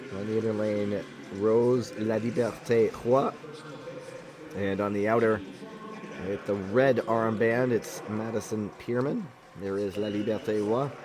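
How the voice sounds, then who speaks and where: Against noticeable background noise, a man speaks at a fairly low pitch with fairly even intonation. His pace is fairly slow, with long, frequent pauses. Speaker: sports commentator. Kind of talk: live commentary.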